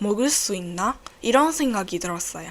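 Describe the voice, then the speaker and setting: A woman's fairly high voice with a Burmese accent and very wide pitch swings, on a very clean recording with a silent background. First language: Burmese (speaking Korean). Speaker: podcast host. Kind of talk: casual solo podcast talk. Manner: halting.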